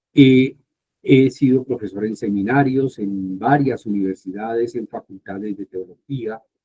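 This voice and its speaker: A man speaks at a fairly slow pace and medium pitch. His tone is dark and mellow. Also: ordinary pitch variation, big swings in loudness. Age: 60s. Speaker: Bible scholar and professor. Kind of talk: informal talk to youth group.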